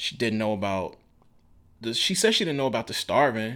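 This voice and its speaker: Very fast and fairly low-pitched, a man with a Mississippi accent speaks with ordinary pitch variation on a very clean recording with a silent background. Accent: Southern US (Mississippi). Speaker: author. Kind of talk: interview. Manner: halting.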